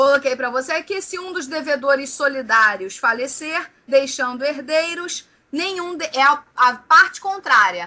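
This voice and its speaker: A woman with a high pitch uses a raised, projected voice, speaking at a fairly slow pace with very wide pitch swings. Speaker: law teacher. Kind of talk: exam review lecture. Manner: animated.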